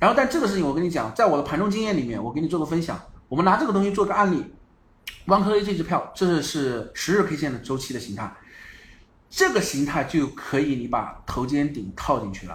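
A man talks very fast at a fairly high pitch, his voice swinging very widely. The room echo is audible. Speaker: stock market livestream host. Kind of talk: livestream market commentary. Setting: online livestream. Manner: frequent filler particles.

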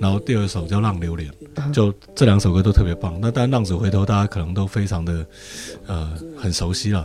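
A man with a strong Taiwanese accent speaks at a fairly quick pace and a fairly low pitch, with ordinary pitch variation. Music plays in the background. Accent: Taiwanese idol-drama-like Mandarin, strong. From southern Fujian, Quanzhou. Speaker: podcast guest. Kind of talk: casual chat.

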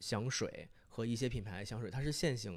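The clip features a man speaking at a medium pitch. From Northeast China, Fushun, Liaoning. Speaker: podcast guest, fragrance enthusiast. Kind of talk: casual chat.

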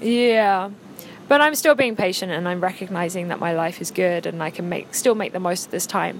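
A woman's medium-pitched voice in an English accent at a moderate pace. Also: ordinary pitch variation. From England. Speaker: podcast guest. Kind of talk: casual chat.

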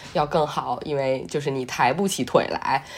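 The pace is fairly slow and the intonation fairly even. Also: woman. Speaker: podcast host. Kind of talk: casual chat.

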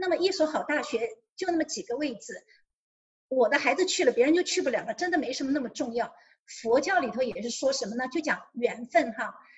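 The intonation is lively. The pace is moderate. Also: woman. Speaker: single mother sharing parenting advice. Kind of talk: interview.

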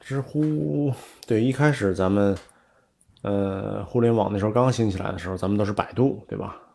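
Here a man with a slight Tianjin accent speaks at a fairly low pitch. His pace is moderate, and his pitch variation is ordinary. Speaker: entrepreneur. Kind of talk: casual chat. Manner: many filler sounds.

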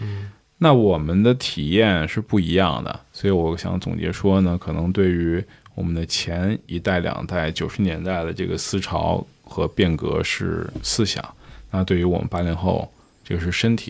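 Noticeable background noise sits under this recording. A man speaks at a fairly slow pace in a very deep, low pitch with ordinary pitch variation. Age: 30s. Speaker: curator. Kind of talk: casual chat.

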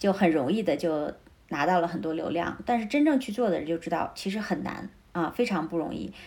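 At a fairly quick pace, a woman with a normal speaking voice talks at medium pitch with lively intonation. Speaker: entrepreneur, former journalist. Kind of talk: interview conversation.

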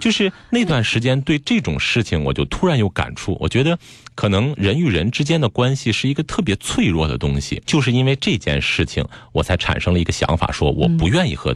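Medium in pitch yet with very wide pitch swings, a man talks at a fairly quick pace with very even loudness, in a dry, close sound with no echo. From Beijing. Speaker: psychotherapist. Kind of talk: interview. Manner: clear articulation, trained delivery.

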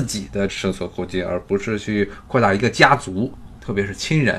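There is vocal fry in this man's voice. He talks at a moderate pace. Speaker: podcast host. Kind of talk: solo commentary. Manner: conversational, many fillers.

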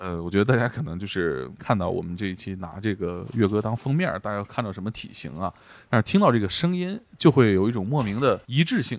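Here is a man with an unremarkable speaking voice, fairly low in pitch and lively in intonation. He moves at a fairly quick pace with hardly any pauses on a very clean recording with a silent background. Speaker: podcast host. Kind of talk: casual interview chat.

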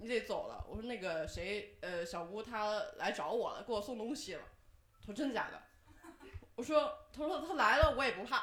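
A woman speaks at a moderate pace in a fairly high voice, with very wide swings in pitch. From Henan, Zhengzhou. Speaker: audience member sharing story. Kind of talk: storytelling. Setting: stage with audience.

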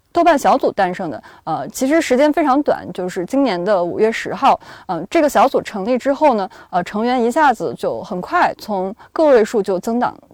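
A woman speaks at a moderate pace with a fairly high pitch and very wide pitch swings. The sound is dry and close, with no echo. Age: 20s. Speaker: podcast co-host and culture journalist. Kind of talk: podcast discussion.

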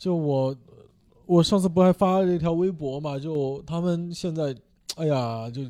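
This man's voice has a dark, mellow tone and a fairly high pitch. He talks at a fairly slow pace with ordinary pitch variation. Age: 30s. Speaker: stand-up comedian. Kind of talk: casual chat.

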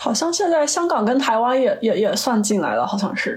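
A woman's voice swings very widely in pitch as she talks at a moderate pace. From China. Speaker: podcast guest, chemist. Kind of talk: casual chat.

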